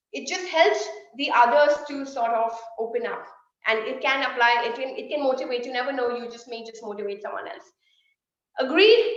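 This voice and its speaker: Animated speech at a fairly quick pace comes with ordinary pitch variation, big swings in loudness, and audible room echo. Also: woman, high pitch for a woman. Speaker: sales trainer. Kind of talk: online workshop. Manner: fast.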